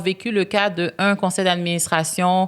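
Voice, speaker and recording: This woman speaks at a moderate pace. Her pitch is fairly low. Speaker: business executive and board member. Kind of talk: podcast interview. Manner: loud; hesitant, many fillers.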